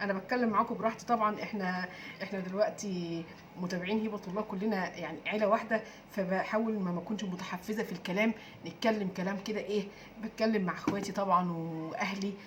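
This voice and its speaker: A woman with an Egyptian accent speaks at a moderate pace and medium pitch, her intonation fairly even, with noticeable background noise. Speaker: diet and weight-loss YouTuber. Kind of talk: casual vlog talk. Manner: halting, many fillers; trying to speak louder.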